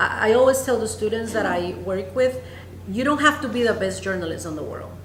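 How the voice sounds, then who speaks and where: Speaking fairly quickly with a Spanish accent, a woman is heard amid noticeable background noise and audible room echo. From Honduras. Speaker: news anchor. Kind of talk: interview. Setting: conference newsroom.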